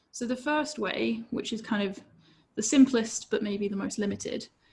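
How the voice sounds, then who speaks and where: At a moderate pace, a woman speaks with a fairly high pitch, ordinary pitch variation, and vocal fry. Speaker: safety engineer presenter. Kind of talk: webinar presentation.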